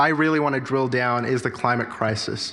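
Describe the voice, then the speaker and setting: The man has an Australian accent and talks at a moderate pace. Room echo is audible. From Australia (Sydney), born in India. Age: 20s. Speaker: political candidate. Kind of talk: campaign speech at candidates forum. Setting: church hall forum with audience.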